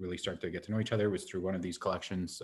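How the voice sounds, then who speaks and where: A man's very deep, low voice with a Canadian prairie accent, somewhat breathy and with fairly even intonation. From Saskatchewan, Prince Albert (Métis). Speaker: professor. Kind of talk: panel introduction. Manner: hesitant, many fillers.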